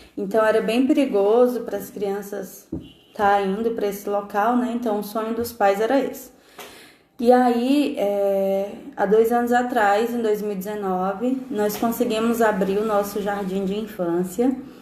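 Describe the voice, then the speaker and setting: The voice has a dark, mellow tone and fairly even intonation at a fairly slow pace. Audible room echo surrounds it. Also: woman, fairly high pitch for a woman. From Brazil, interior of Ceará. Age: 20s. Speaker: missionary teacher. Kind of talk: testimony.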